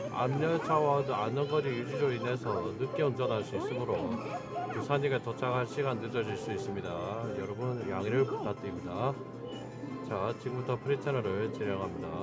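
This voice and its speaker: With loud music in the background, a man talks at a moderate pace and with ordinary pitch variation. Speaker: arcade game player vlogger. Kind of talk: casual vlog chat. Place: shop. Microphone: phone near.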